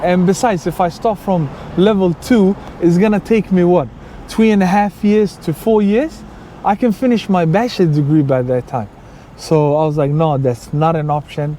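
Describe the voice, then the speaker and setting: A man speaks with a high pitch and lively intonation. Noticeable background noise runs underneath. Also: moderate pace. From Sweden, Somali background. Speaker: YouTuber. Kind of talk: personal storytelling. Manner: casual, with fillers.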